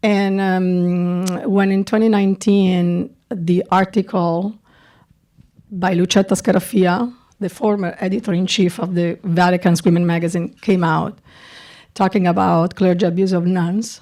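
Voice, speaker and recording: A woman in a strong Italian accent, medium-pitched with a dark, mellow tone, fairly even intonation and a fairly slow pace, on a very clean recording with a silent background. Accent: thick Italian. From Italy, Milan. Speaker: documentary director. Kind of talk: festival Q&A. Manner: halting, many repetitions.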